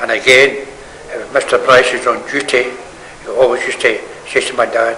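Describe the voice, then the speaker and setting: Medium-tempo male speech against clearly audible background noise. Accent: Glaswegian. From Scotland, Govan (Glasgow). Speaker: local resident sharing memories. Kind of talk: oral history reminiscence. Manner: halting.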